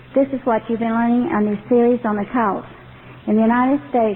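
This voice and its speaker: Over noticeable background noise, a woman talks with fairly high pitch and fairly even intonation. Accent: slight Texas. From Texas. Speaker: ex-member ministry director. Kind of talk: testimony.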